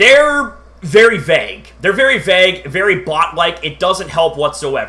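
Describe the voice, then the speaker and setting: A man's high-pitched, raised and projected voice, bright and sharp in tone, with very wide pitch swings and a fairly slow pace. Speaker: YouTuber live streamer. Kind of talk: casual live stream chat. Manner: halting, many fillers.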